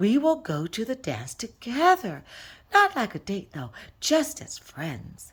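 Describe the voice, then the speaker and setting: A female-sounding voice puts on a character voice. It sits at a fairly high pitch and moves at a fairly slow pace. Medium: read story. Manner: literal, deadpan.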